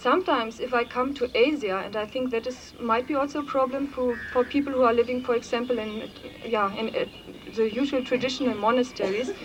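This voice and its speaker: Over noticeable background noise, a woman talks at a fairly quick pace in a high pitch, with ordinary pitch variation. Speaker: Buddhist nun speaking at a conference. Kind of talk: conference talk. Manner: halting, many fillers.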